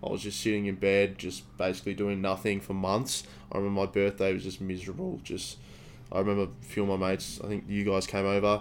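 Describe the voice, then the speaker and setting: A man with a fairly low pitch races along at a very fast pace, his intonation fairly even. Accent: Australian. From Victoria, Australia. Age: 20s. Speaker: fitness student and podcast co-host. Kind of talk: casual chat.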